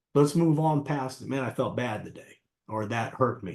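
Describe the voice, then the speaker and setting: Here is a man with an unremarkable speaking voice. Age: 60s. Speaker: martial arts coach and life coach. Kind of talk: interview conversation.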